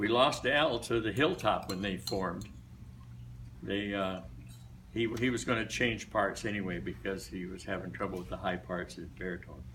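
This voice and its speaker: A man with an American accent speaks at a moderate pace in a fairly low pitch with very wide pitch swings. There is vocal fry in his voice and audible room echo around it. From US Midwest, Des Moines, Iowa. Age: 80s+. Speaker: retired barbershop singer. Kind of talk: after-lunch speech. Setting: luncheon club meeting. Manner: casual, hesitant with fillers.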